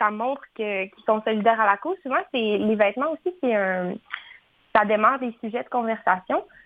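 This woman has a normal speaking voice, fairly high in pitch, with ordinary pitch variation and a moderate pace. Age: 20s. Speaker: fashion designer and entrepreneur. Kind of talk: radio interview.

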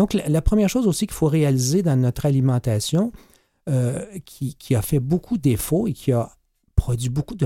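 A man's fairly high voice, somewhat breathy, with a dark, mellow tone, very wide pitch swings and a moderate pace. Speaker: medical doctor and author. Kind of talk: radio interview. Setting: studio.

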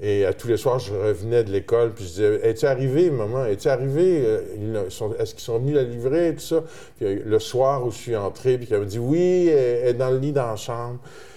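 The man sounds somewhat breathy, his tone dark and mellow. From Quebec, Terrebonne. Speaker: musician. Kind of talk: interview. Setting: studio, blindfolded.

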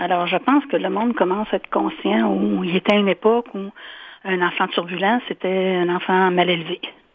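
A woman talks at a moderate pace in a medium pitch. Hers is an ordinary speaking voice. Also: ordinary pitch variation. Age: 60s. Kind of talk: interview.

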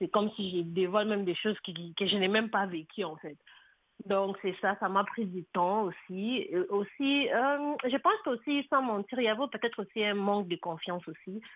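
Speaking at a moderate pace, a woman uses an ordinary speaking voice with a medium pitch and ordinary pitch variation. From DR Congo. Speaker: author and poet. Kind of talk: radio interview.

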